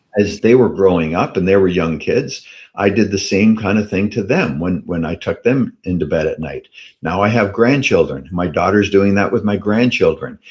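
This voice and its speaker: A man with a Canadian accent speaks at a moderate pace in a fairly low voice with ordinary pitch variation. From Canada. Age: 60s. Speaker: personal development speaker. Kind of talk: interview storytelling. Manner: halting with repetitions.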